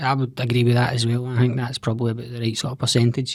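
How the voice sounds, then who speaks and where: Speaking very fast in a Scottish accent, the man has a medium pitch. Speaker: podcast host. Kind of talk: podcast interview questions.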